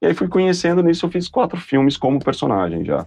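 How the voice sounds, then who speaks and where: Talking at a very fast pace, a man with a dark, mellow tone swings his pitch very widely. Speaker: actor and TV presenter. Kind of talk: interview. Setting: studio. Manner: animated.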